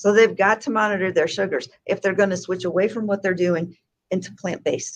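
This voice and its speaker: An unremarkable speaking voice belongs to a woman who talks fairly quickly. Her intonation stays fairly even at a medium pitch. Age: 60s. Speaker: health educator. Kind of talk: interview.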